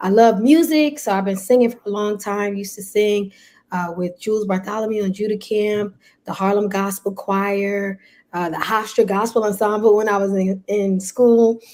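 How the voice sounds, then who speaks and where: A woman with a New York accent has a dark, mellow tone. Her intonation stays fairly even. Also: medium pitch for a woman, moderate pace. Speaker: pastor. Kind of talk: casual chat.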